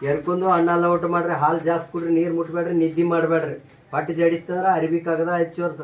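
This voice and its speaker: A man speaks with a high pitch. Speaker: traditional Ayurvedic healer. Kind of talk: instructions to patients; promotional statement to camera. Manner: repetitive.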